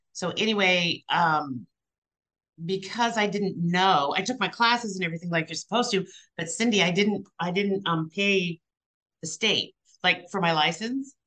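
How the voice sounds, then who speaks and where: A woman with an American accent speaks at a moderate pace in a bright, sharp tone. Her pitch is medium, with ordinary variation. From Missouri. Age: 60s. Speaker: real estate agent. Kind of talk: casual chat. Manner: blunt.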